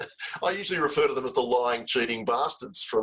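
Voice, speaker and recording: A man with an Australian accent talks at a very fast pace. Noticeable background noise sits behind him. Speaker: charity CEO, webinar host. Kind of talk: webinar conversation.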